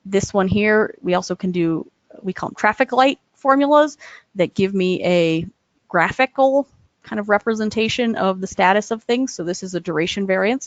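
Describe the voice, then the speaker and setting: With ordinary pitch variation, a woman speaks at a medium pitch and moderate pace. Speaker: software presenter. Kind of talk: webinar software demo. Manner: hesitant, many fillers.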